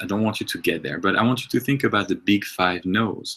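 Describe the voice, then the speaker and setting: A man talks with a French accent. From France. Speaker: movement and health coach. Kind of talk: webinar presentation. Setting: online webinar. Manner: halting, many fillers.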